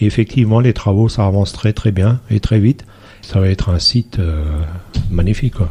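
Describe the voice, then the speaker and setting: A man's fairly low voice at a moderate pace, ordinary pitch variation, and a dry, close sound with no echo. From Alsace, near Saverne, farm upbringing. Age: 60s. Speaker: village mayor. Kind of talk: radio interview. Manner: hesitant, many fillers.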